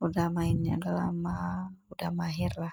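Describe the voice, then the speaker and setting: Speaking with an Aceh accent, this voice swings very widely in pitch, and the sound is dry and close with no echo. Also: woman. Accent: Acehnese. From Aceh, Indonesia. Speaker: housewife vlogger. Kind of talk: casual voiceover vlog. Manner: halting, self-correcting; chatty.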